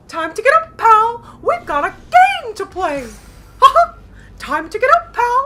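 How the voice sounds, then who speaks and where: A woman's squeaky, put-on character voice, extremely high in pitch and delivered at a fairly slow pace. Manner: cheerful, repetitive, chipper.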